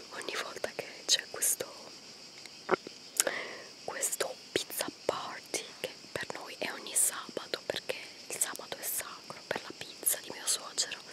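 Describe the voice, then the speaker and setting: Soft-spoken and whispering, a woman talks at a fairly slow pace with long, frequent pauses and big swings in loudness, in a dry sound with no echo amid noticeable background noise. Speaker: vlogger. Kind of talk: casual vlog chat. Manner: soft whispered chatty vlog voice. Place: forest. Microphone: phone near.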